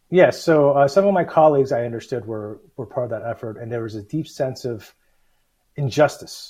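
A man with an American accent has a somewhat breathy, dark, mellow tone at medium pitch with ordinary pitch variation. He talks at a fairly quick pace over a quiet background. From US South (Alabama and Georgia). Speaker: city mayor. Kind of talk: interview. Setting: video call. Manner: halting, many fillers.

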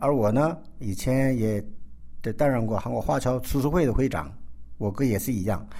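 This man has a dark, mellow tone at medium pitch, with lively intonation and a moderate pace broken by long, frequent pauses. Room echo is audible. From South Korea (ethnic Chinese). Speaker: chef. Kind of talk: interview.

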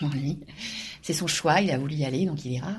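Audible room echo surrounds a woman speaking at a fairly quick pace in a very deep, low pitch, her voice somewhat breathy. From Normandy, France. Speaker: university professor and author. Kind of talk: interview. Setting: office. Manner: halting, frequent repetitions and hesitations.

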